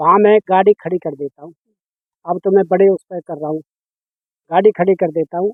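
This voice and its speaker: A man speaks at a high pitch with fairly even intonation and big swings in loudness. Long pauses come often. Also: moderate pace. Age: 50s. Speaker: farmer and schoolteacher. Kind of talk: interview.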